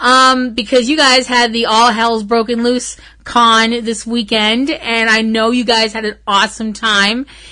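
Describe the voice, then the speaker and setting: Her tone bright and sharp, a woman speaks at a fairly slow pace in a fairly high pitch, with monotone, flat intonation and hardly any pauses. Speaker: podcast host. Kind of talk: casual chat.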